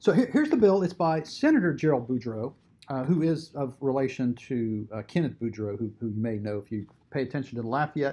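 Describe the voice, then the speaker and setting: Speaking fairly quickly, a man with a medium pitch uses lively intonation in a dark, mellow, somewhat breathy tone. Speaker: advocacy group commentator. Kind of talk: video commentary on a bill, with clips.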